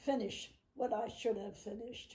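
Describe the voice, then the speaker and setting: A woman with an American accent speaks at a fairly slow pace in a fairly high pitch, her somewhat breathy voice dark and mellow in tone with fairly even intonation. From New Jersey, Trenton area (US). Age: 90s. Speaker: great-grandmother interviewee. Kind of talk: family interview. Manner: halting, with hesitations.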